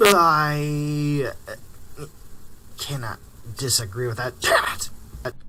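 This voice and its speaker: In a put-on character voice, the speaker goes at a very slow pace with long, frequent pauses. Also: man, fairly high pitch for a man. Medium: audio drama. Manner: teasing, combative.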